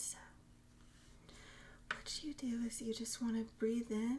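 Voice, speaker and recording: A soft-spoken woman whispering at a fairly slow pace. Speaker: ASMR creator. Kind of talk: ASMR reading and teaching. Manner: whispered, soft-spoken.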